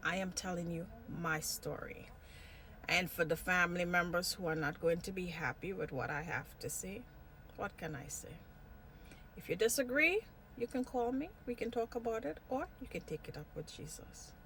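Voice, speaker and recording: With lively intonation and a bright, sharp tone, a woman speaks at a fairly low pitch and a moderate pace. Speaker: vlogger. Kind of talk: personal vlog monologue. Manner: jumps between topics.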